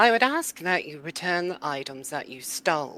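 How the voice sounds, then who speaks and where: In a put-on character voice at a middle pitch, the speaker talks at a moderate pace over a very clean recording with a silent background. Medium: actual play. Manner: stern, archaic, threatening.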